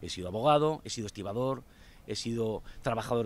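A man speaks at medium pitch with ordinary pitch variation. The sound is dry with no echo. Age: 50s. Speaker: local election candidate; election candidate. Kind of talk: campaign interview. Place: waterside. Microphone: handheld.

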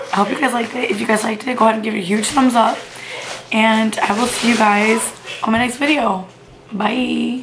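Through noticeable background noise, a woman speaks at a fairly quick pace with fairly even intonation. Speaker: vlogger. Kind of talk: casual vlog chat. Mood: warm, playful. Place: kitchen. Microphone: phone near.

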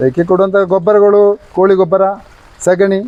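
A man speaks with a high pitch. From Dakshina Kannada, coastal Karnataka (family from Kerala). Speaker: farmer. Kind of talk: interview.

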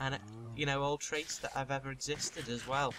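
His tone is bright and sharp. The man talks at a moderate pace. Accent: Liverpool. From Liverpool, England. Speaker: gaming YouTuber. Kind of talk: casual chat. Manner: animated.

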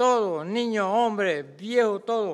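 Here a man is talking. The background is quiet. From Panama, Colón province (Coclé del Norte, Donoso); Colón province, Panama. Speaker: farmer activist speaking at public hearing. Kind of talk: public hearing testimony. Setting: hearing room with audience and microphone. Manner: impassioned. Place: hall. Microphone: podium.

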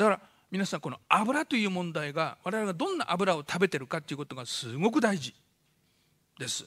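Against a quiet background, a man talks at a fairly quick pace in a high, bright, sharp voice, with very wide pitch swings and big swings in loudness. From Fukushima, Japan. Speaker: doctor giving a public lecture. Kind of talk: lecture. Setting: stage with audience. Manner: fast talker. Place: hall. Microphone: podium.

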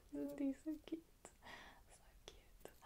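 A woman is whispering. Her tone is relaxed. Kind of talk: ASMR design-with-me talk to camera. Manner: soft-spoken, whispered, relaxed. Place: home room.

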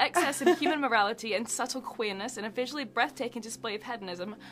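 Music plays behind a woman who speaks at a very fast pace. Her pitch is fairly high, with ordinary variation. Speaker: book content creator. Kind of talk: interview questions. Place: home room.

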